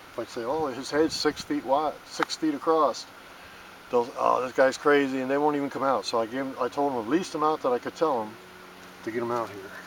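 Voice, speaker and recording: Fairly quick pace over noticeable background noise. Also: man, medium pitch for a man. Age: 50s. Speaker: amateur digger and handyman. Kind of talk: casual monologue while digging. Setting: outdoors. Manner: halting, repetitive.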